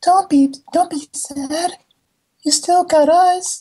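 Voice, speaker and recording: In a put-on character voice, someone talks at a very slow pace, squeaky and pitched extremely high. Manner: creepy, sad.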